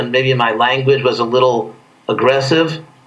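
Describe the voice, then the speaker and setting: Over noticeable background noise and audible room echo, a man talks at a moderate pace and a fairly high pitch, with fairly even intonation. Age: 60s. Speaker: spiritual leader. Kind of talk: interview.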